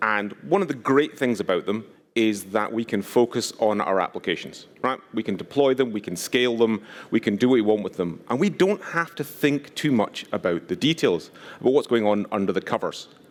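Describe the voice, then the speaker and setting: Lively intonation from a man of medium pitch at a fairly quick pace. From Scotland, West Highlands. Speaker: conference speaker, security advocate. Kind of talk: conference talk.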